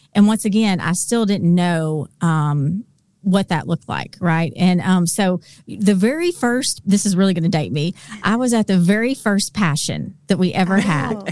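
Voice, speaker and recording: In a very clean recording with a silent background and a dry, close sound with no echo, the speaker uses a Southern US accent at a moderate pace with ordinary pitch variation. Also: woman, medium pitch for a woman. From Arkansas. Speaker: Bible teacher. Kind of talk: casual interview.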